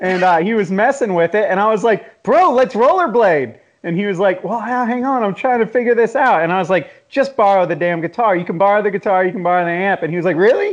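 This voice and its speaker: A man's high voice with an American accent, very fast with hardly any pauses, ordinary pitch variation, over a quiet background. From US Southeast, Jacksonville and Atlanta. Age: 40s. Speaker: magazine founder and podcast host. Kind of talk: casual chat.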